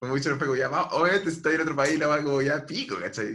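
A man with a Chilean accent has a bright, sharp tone. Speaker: podcast host. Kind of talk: casual chat.

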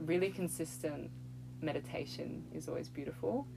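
This is a woman with an Australian accent. She speaks at a moderate pace. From Australia, Melbourne. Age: 20s. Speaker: artist and yoga teacher. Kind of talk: casual chat.

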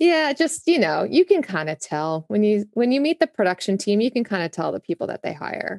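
Speaking at a fairly quick pace with hardly any pauses, a woman with a New Jersey accent and a fairly high pitch swings her pitch very widely, in a dry, close sound with no echo over a quiet background. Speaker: music tour professional. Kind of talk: casual interview chat.

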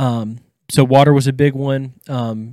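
With an East Texas accent and fairly even intonation, a man speaks in a dry, close recording without echo. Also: very clean recording, silent background. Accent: East Texas Southern US. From Deep East Texas. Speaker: counseling intern. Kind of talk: casual chat. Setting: studio.

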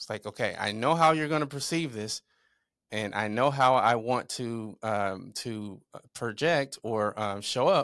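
Speaking slowly-ish at a fairly slow pace, a man with an American accent shows ordinary pitch variation. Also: medium pitch for a man, very clean recording, silent background. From southern Illinois, US Midwest. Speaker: entrepreneur and author. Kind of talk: interview. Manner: halting, many fillers.

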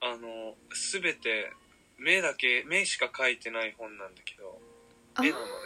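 A man's voice with big swings in loudness, long and frequent pauses, and noticeable background noise. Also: fairly slow pace. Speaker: podcast co-host. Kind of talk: casual chat. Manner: slow.

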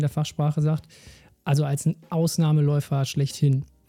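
With music in the background, a man talks at a moderate pace and a fairly high pitch. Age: 30s. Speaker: sports scientist podcast host. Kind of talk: solo educational podcast.

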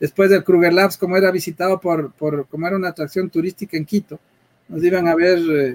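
A man with a high pitch speaks at a moderate pace with fairly even intonation. The sound is dry and close, with no echo. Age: middle-aged. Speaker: tech entrepreneur. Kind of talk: interview. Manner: halting, repeats words.

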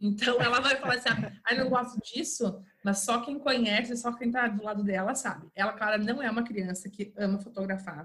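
This woman has a normal speaking voice at a medium pitch, talking at a fairly quick pace with ordinary pitch variation. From interior of Rio de Janeiro state, Brazil. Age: 30s. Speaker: English teacher and home decor influencer. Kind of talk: casual interview chat.

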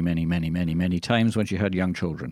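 A Scottish man speaks with a very deep, low pitch on a very clean recording with a silent background. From Scotland. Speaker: radio host. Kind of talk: casual banter, radio show. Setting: radio studio. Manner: jokey, wordplay, rambling.

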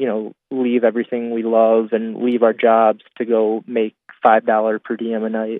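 Delivered at a moderate pace, a man's medium-pitched voice stays monotone and flat. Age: 20s. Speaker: guitarist. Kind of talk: casual chat.

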